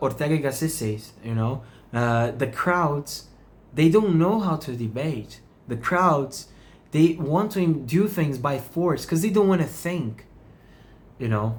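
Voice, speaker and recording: A man with a non-native accent and a fairly high pitch speaks at a very slow pace, somewhat breathy, with lively intonation. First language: not English. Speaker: meditation channel host. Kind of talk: reflective monologue. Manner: halting.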